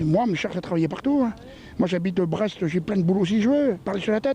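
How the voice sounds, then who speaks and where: A man's dark, mellow voice with lively intonation. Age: 60s. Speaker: retired passer-by in street interview. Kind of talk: vox pop street interview. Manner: hesitant, many fillers.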